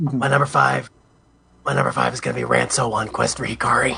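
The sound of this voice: Putting on a raspy character voice, a man talks at a fairly quick pace with a fairly low pitch and very wide pitch swings.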